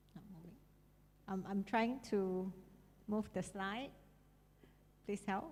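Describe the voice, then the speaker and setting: Somewhat breathy, a woman speaks at a very slow pace. She leaves long, frequent pauses. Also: medium pitch for a woman, ordinary pitch variation. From Malaysia, Sarawak (Kuching). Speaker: university international affairs coordinator. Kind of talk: conference talk.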